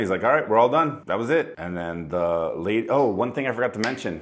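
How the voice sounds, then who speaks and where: A man talks at a very fast pace. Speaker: vlogger sharing medical experience. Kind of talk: personal video testimony. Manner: casual, halting with repetitions.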